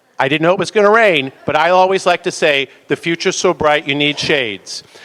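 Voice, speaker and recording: This man, with an American accent, speaks fairly quickly at a fairly high pitch in a normal speaking voice, recorded with a dry, close sound and no echo. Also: ordinary pitch variation. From Chicago. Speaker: healthcare company chairman. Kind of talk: closing remarks.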